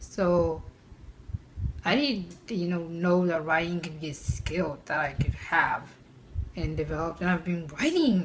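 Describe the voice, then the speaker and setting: With a non-native accent, the speaker goes at a fairly slow pace with long, frequent pauses and ordinary pitch variation, amid audible room echo and noticeable background noise. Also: woman, fairly low pitch for a woman. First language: not English. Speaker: mental health vlogger. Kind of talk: personal vlog talk. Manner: hesitant, with fillers.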